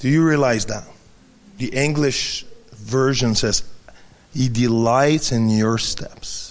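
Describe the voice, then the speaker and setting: Using a medium pitch and fairly even intonation, a man with a French accent speaks with long, frequent pauses. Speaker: preacher. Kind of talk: sermon. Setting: church. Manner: halting.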